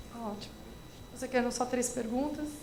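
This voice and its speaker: A woman's high-pitched voice in a São Paulo accent, fairly even intonation, audible room echo and noticeable background noise. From São Paulo, Brazil. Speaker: education expert. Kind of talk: lecture Q&A.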